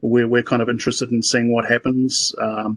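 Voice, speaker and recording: In a New Zealand accent, a man speaks very fast at a medium pitch with monotone, flat intonation, the sound dry and close with no echo. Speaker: sheep breeder, meeting participant. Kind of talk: casual discussion comment. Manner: halting, many repetitions and fillers.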